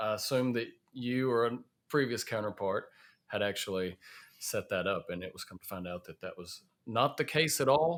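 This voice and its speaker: With a Southern US accent, a man speaks at medium pitch and a moderate pace, his intonation lively and his loudness swinging widely. The recording is very clean, the background silent. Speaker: safety podcast host. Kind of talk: casual podcast chat. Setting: in person at a conference in Chicago.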